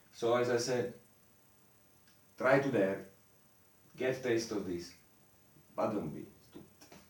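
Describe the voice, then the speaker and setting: A man at medium pitch talks at a fairly slow pace with long, frequent pauses, sounding somewhat breathy with ordinary pitch variation. His loudness swings widely, and audible room echo surrounds him. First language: not English. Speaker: esoteric lecturer. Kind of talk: lecture. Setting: improvised home studio in the mountains. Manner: halting.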